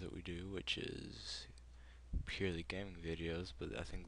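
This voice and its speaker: Speaking with an American accent, a man uses a very deep, low pitch with vocal fry and lively intonation. He keeps a moderate pace, and room echo is audible. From United States. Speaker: gaming video creator. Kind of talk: unscripted opinion commentary. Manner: halting, many fillers. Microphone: poor mic, breathy, audible breathing.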